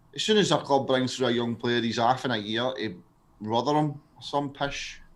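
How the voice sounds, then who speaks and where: Speaking with a Glaswegian accent, a man keeps a moderate pace at a medium pitch with ordinary pitch variation. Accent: Glaswegian Scottish. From Scotland, Glasgow. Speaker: live stream co-host. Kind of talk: casual chat. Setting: live stream.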